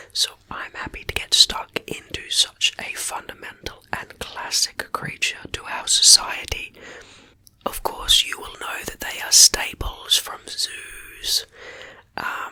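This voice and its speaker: Someone whispers very slowly with an Australian accent over noticeable background noise. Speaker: ASMR creator. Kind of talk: whispered ASMR reading of facts. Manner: whispering.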